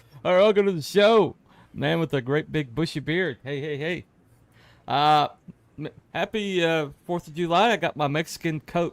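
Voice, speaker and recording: An ordinary speaking voice with an American accent talks at a moderate pace, with big swings in loudness. The recording is very clean with a silent background, and the sound is dry and close with no echo. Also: man, fairly high pitch for a man, ordinary pitch variation. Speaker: live stream host. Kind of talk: casual chat. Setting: live stream.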